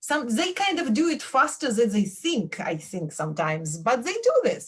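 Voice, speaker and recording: Speaking at a moderate pace with a Belarusian accent, this voice has vocal fry, very wide pitch swings, big swings in loudness and hardly any pauses. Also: woman. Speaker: professor. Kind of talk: radio interview.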